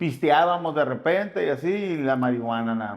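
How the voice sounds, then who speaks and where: A man with a northern Mexican accent, moderate pace and ordinary pitch variation. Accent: northern Mexican Spanish (Sonora). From Sonora, northwest Mexico. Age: 30s. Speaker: former gang member in recovery. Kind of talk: interview testimony. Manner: casual, slangy.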